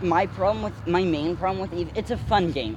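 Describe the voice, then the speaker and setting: A man's voice at a fairly high pitch. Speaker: co-host. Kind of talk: casual banter.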